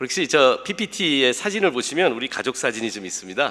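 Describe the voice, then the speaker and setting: Delivered at a fairly quick pace with lively intonation, this is an unremarkable speaking voice. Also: man. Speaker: pastor. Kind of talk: sermon. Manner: casual, humorous conversational delivery.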